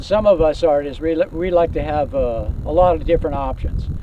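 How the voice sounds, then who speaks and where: A man speaks at a moderate pace with a fairly high pitch. Noticeable background noise is present. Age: 60s. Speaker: outdoors YouTuber and painter. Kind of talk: product review. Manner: casual, many fillers.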